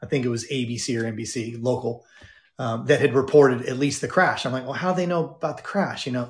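A man's somewhat breathy voice in a General American accent, medium in pitch, very fast, with ordinary pitch variation. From Southern California. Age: 50s. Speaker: former pastor and personal development speaker. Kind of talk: interview.

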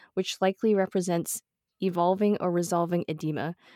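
In a very clean recording with a silent background and a dry, close sound with no echo, a woman with a normal speaking voice talks at a moderate pace and a medium pitch. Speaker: podcast host. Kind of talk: casual interview.

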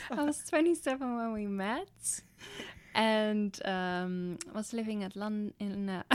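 In a very clean recording with a silent background, a woman with a Dutch accent speaks at a very slow pace, her fairly high voice carrying lively intonation. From Netherlands. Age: 20s. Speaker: podcast co-host, nurse. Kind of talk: casual chat.

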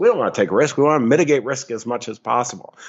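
Talking at a very fast pace, a man with an American accent shows ordinary pitch variation. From upstate New York. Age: 60s. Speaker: financial advisor. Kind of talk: interview.

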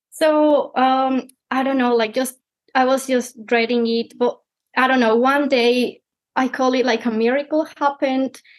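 Speaking at a fairly slow pace, a woman with a Spanish accent uses a high pitch and monotone, flat intonation. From Mexico. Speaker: PhD candidate. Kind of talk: casual interview.

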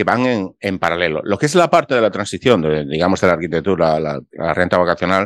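Very deep and low, a man's voice races at a very fast pace with lively intonation. The background is quiet. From Spain. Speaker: architect, vacation rental host and YouTuber. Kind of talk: interview conversation.

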